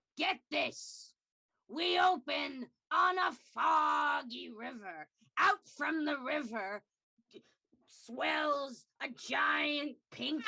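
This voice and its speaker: A put-on character voice drags at a very slow pace. Long, frequent pauses break it up. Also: female-sounding voice, high pitch for a woman. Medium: game stream. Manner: dramatic, storytelling.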